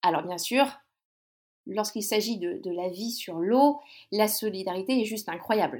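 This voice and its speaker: Speaking at a fairly slow pace with long, frequent pauses, a woman with a fairly high voice shows ordinary pitch variation and big swings in loudness. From Brittany, France (near Brest). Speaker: guest describing her lifestyle. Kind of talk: casual interview chat. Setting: recording from her houseboat. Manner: hesitant, many repetitions.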